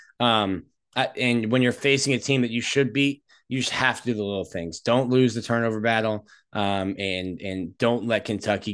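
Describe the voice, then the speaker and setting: A man with an ordinary speaking voice talks at a medium pitch with fairly even intonation. The background is quiet. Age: 30s. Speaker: college football reporter. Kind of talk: casual sports analysis.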